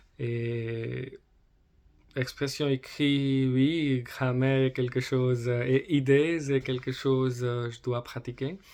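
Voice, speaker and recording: A man talks at a very slow pace, holding a medium pitch with fairly even intonation. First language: not French, learner (speaking French). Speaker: French learner vlogger. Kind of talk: personal vlog monologue. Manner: halting, many fillers.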